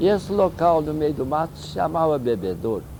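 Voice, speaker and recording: The man's voice sits fairly high. He talks at a fairly slow pace. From Minas Gerais, Brazil. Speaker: UFO researcher. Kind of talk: interview answer.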